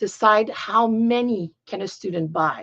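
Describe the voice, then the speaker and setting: Speaking with a French accent, a woman shows vocal fry and ordinary pitch variation. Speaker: piano teacher. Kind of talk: tutorial. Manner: halting, searching for words.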